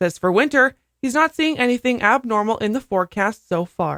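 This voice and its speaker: A woman with an ordinary speaking voice talks at a fairly quick pace with lively intonation, in a dry, close sound with no echo. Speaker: radio news and sports anchor. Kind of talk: radio news anchor read.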